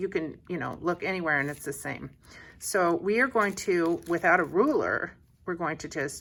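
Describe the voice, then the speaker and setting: Over a very clean recording with a silent background, a woman with an unremarkable speaking voice and a fairly low pitch speaks at a fairly slow pace. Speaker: art teacher. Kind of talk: tutorial. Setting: home art studio. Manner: casual, conversational.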